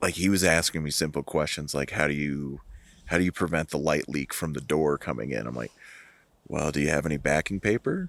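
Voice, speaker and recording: Very deep and low, this man's voice carries vocal fry and an American accent, with ordinary pitch variation. The sound is dry and close with no echo, in a very clean recording over a silent background. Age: 40s. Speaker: amateur film photographer. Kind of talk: casual chat. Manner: halting.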